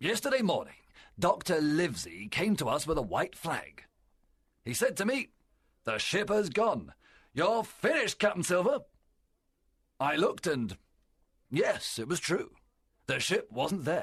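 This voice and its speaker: This is a put-on character voice at a moderate pace. Long, frequent pauses break it up. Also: man, high pitch for a man. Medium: read story. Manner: forceful, persuasive.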